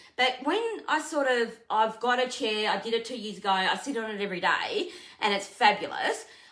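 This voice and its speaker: Speaking at a moderate pace, a woman with a fairly high pitch uses lively intonation and a bright, sharp tone, with audible room echo around her. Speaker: furniture painter and content creator. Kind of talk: live stream painting tutorial. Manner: loud.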